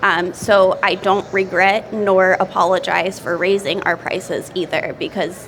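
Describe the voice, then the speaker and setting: An American accent with fairly even intonation, over noticeable background noise. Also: woman. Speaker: restaurant owner. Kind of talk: seminar talk.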